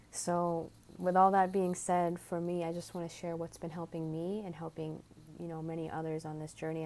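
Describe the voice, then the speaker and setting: At a moderate pace and fairly low pitch, a woman speaks in a dark, mellow tone with monotone, flat intonation. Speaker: spiritual video creator. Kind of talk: spiritual talk to camera. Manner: earnest, heartfelt.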